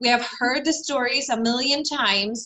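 A woman's high-pitched voice at a fairly slow pace. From Sweden, Stockholm. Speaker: trauma survivor and women's coach. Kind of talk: interview.

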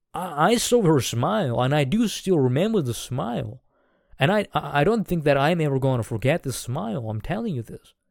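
A man with a fairly high pitch and very wide pitch swings on a very clean recording with a silent background. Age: 20s. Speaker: vlogger. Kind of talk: storytelling monologue. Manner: halting, many repetitions.

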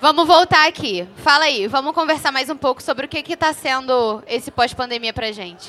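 A woman with a high pitch and a bright, sharp tone speaks in a raised, projected voice with lively intonation, at a moderate pace with hardly any pauses. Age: 20s. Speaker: podcast co-host. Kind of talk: casual chat.

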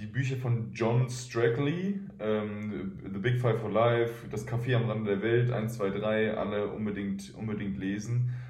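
Here a man talks at medium pitch and a fairly slow pace, with hardly any pauses and ordinary pitch variation. Audible room echo and noticeable background noise are present. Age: 20s. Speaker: professional basketball player. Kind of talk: interview.

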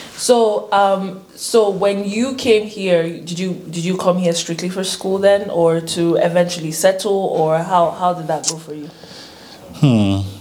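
A woman speaks at a fairly slow pace and medium pitch, with ordinary pitch variation. There is noticeable background noise. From Nigeria. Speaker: YouTuber, international student. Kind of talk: casual chat. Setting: studio. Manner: animated, laughing often.

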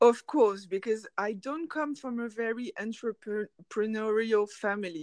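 A woman's plain, everyday voice, fairly high in pitch, at a fairly slow pace with hardly any pauses, big swings in loudness, ordinary pitch variation and a dry, close sound with no echo. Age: 30s. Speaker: graphic designer. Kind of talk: interview.

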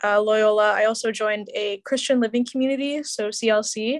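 A woman's fairly high voice in an American accent, with monotone, flat intonation at a moderate pace. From Chicago area. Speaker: podcast team member, recent graduate. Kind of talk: interview. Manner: casual, hesitant.

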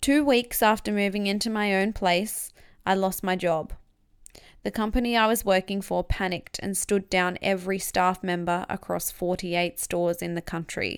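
On a very clean recording with a silent background, a woman with an Australian accent speaks at medium pitch and a moderate pace with fairly even intonation. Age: 20s. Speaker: podcast host and author. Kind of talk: reading aloud from own memoir.

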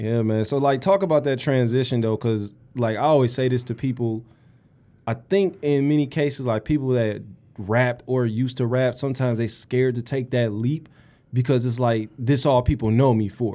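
In a Detroit accent, a man speaks with a dark, mellow tone and ordinary pitch variation. The recording is very clean, with a silent background. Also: medium pitch for a man, moderate pace. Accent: Detroit urban American English. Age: 30s. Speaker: podcast host and rapper. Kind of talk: casual chat. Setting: studio.

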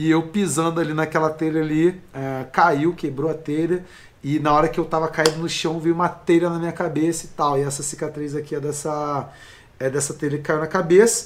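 Speaking at a moderate pace, a man uses a fairly high pitch and monotone, flat intonation. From Brazil, Rio de Janeiro (Baixada Fluminense). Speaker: life coach. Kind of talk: casual interview chat.

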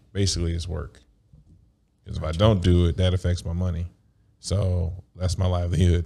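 In an American accent, a man with a very deep, low pitch talks at a fairly quick pace in a monotone, flat intonation, leaving long, frequent pauses. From United States. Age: 30s. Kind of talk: casual chat.

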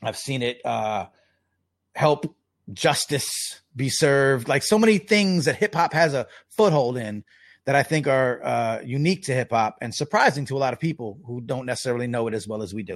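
A man with a medium-pitched voice talks at a moderate pace, his intonation lively. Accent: New York. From US Northeast, Long Island, New York. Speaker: journalist and hip-hop advocate. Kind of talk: casual interview. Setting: remote call from home.

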